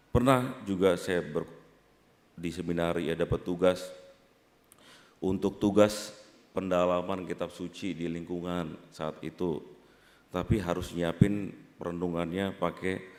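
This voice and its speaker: A man's very deep, low voice with a Jakarta accent, fairly slow and fairly even, broken by long, frequent pauses over a very clean recording and silent background. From Jakarta, Indonesia. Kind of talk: sermon. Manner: conversational, frequent filler 'ya'.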